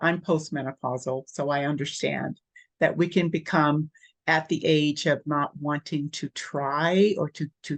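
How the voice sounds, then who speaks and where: At a fairly slow pace, a woman speaks with a very deep, low pitch and fairly even intonation, in a dry, close sound with no echo. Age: 60s. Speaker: nurse practitioner and wellness coach. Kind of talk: interview.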